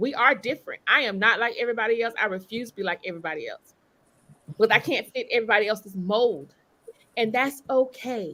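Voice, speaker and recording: A woman with an American accent speaks at a fairly high pitch in a bright, sharp, animated tone. Her pitch variation is ordinary. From Eastern North Carolina. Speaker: lawyer and author. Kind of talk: panel discussion.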